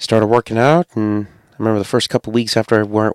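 A man with a New England accent speaks in a nervous tone at a medium pitch. The sound is dry and close with no echo, on a very clean recording with a silent background. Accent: New England American. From US Connecticut. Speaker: podcast host. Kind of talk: solo podcast monologue, casual. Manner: nervous, casual.

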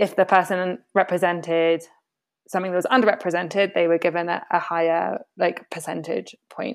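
A woman with a British accent speaks at a fairly low pitch. Her intonation is fairly even and her pace moderate. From Britain. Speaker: impact network program manager. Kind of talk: casual interview conversation. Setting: video call.

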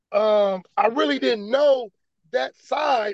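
The sound is dry and close with no echo as a man talks at a fairly slow pace with lively intonation. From Vallejo, California. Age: 50s. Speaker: skateboard team founder. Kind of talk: personal testimony interview. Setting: phone or remote call.

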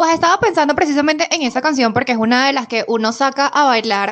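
Lively intonation at a fairly quick pace. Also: woman. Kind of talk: casual chat.

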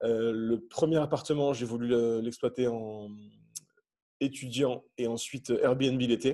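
A man with a dark, mellow tone and medium pitch speaks with fairly even intonation. His pace is very slow, with long, frequent pauses over a quiet background. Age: 30s. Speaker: airline pilot and property investor. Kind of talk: podcast interview.

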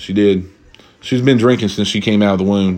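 A man speaks in an animated tone with an Appalachian accent. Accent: Appalachian Southern US. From Eastern Kentucky. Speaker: podcast host. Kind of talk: casual solo chat. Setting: drinking while recording.

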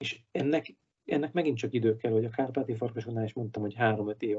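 Somewhat breathy and medium-pitched, a man talks at a very fast pace with fairly even intonation. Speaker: ice hockey manager and referee. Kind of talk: casual interview. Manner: casual, hesitant.

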